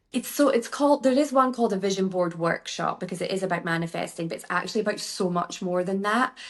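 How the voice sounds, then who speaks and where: Against noticeable background noise, a woman with a Scottish accent talks very fast at a medium pitch, with lively intonation and hardly any pauses. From Scotland. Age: 40s. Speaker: beauty therapist and workshop founder. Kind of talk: podcast interview. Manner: chatty, informal.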